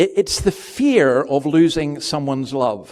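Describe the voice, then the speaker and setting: A man with a Scottish accent has a dark, mellow tone and a fairly high pitch. His intonation is lively. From Scotland. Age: 60s. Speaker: pastor. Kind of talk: sermon. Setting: church. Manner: conversational.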